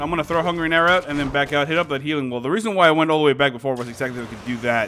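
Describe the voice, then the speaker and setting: A man's fairly high pitch with ordinary pitch variation against noticeable background noise. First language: Spanish. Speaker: gaming YouTuber. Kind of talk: gameplay commentary. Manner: casual, many fillers.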